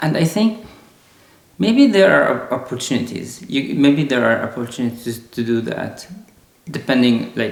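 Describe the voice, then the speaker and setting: Lively intonation marks this man's moderate-paced speech in an Arabic accent. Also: medium pitch for a man. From Lebanon. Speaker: software engineer. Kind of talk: casual interview conversation. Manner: halting, with repeated words.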